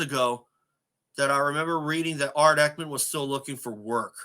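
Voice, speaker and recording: A man's fairly high, fairly quick delivery in a normal speaking voice, its pitch varying in an ordinary way. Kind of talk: casual talk to camera, tribute commentary. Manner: conversational, sad.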